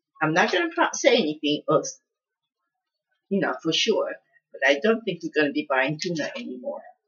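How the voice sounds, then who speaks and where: Her voice swings very widely in pitch as a woman talks with vocal fry and long, frequent pauses. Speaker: home cooking youtuber. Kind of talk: casual cooking tutorial. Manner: slow; halting.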